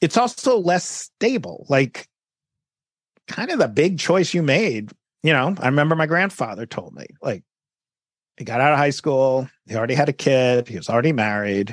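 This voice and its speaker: With a New York accent and a fairly high pitch, a man speaks at a moderate pace with very wide pitch swings in a dry, close sound with no echo. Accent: New York American. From New York City. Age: 50s. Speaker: journalist and author. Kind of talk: interview, casual conversation. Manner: conversational, reflective, laughs often.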